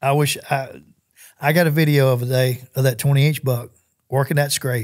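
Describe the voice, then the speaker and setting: A man with a Southern US accent speaks at a fairly high pitch. His voice is somewhat breathy, with ordinary pitch variation. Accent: US South. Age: 60s. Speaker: hunter. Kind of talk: casual chat. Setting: studio.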